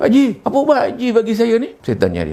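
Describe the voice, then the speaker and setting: Noticeable background noise is present. A man speaks over it. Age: 70s. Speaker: retired school principal, patient testimonial. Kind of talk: testimony.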